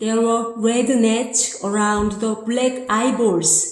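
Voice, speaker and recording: With audible room echo, a woman speaks very slowly at a fairly high pitch in a Korean accent. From South Korea. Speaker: amateur writer. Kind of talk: reading aloud of own essay. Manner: halting.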